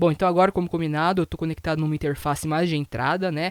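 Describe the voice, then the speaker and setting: In a very clean recording with a silent background, a man talks at a very fast pace with a fairly high pitch and a dry, close sound with no echo. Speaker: audio gear reviewer. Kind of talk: product review tutorial. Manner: speaking loudly.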